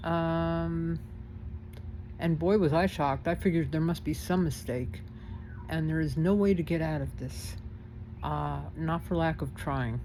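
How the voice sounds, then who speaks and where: Audible room echo follows a woman who keeps a moderate pace. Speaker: vlogger. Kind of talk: casual complaint vlog. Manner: hesitant, many fillers.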